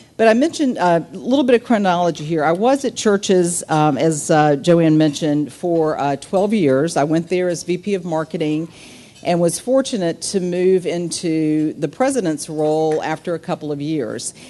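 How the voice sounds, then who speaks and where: A woman with an American accent talks at a moderate pace, barely pausing. Her intonation is lively, over noticeable background noise. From US South, small town. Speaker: business executive, keynote speaker. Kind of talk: luncheon speech.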